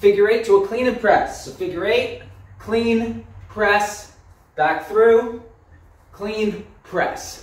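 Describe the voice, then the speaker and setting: In a room with audible echo, a man speaks at a very slow pace with a high pitch and fairly even intonation. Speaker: fitness coach. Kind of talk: tutorial.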